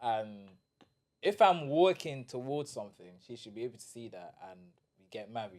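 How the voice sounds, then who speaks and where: In a London accent, a man with a medium pitch speaks at a moderate pace in an animated tone, with lively intonation and big swings in loudness. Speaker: podcast co-host. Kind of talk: casual chat.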